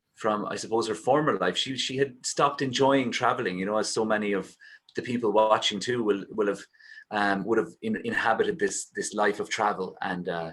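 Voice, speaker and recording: With an Irish accent, a man speaks at a fairly quick pace in a fairly low pitch with ordinary variation. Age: 30s. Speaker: singer and poet. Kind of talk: casual chat. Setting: video call.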